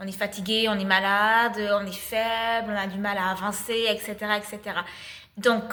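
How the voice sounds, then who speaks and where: Bright and sharp in tone, a woman with a fairly high pitch speaks at a fairly slow pace. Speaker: spiritual channel, energy healer. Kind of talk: spiritual channeled message, casual monologue. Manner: hesitant, many filler sounds.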